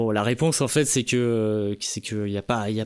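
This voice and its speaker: Recorded very cleanly against a silent background, a man with a normal speaking voice talks at a fairly slow pace and medium pitch. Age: 30s. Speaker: podcast host, sound engineer. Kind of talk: casual chat.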